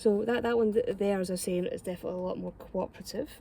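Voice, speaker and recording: Using a Scottish accent, a woman talks at a fairly quick pace with medium pitch, a dark, mellow tone, and fairly even intonation. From Scotland. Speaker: home gardener. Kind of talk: casual gardening tutorial to camera.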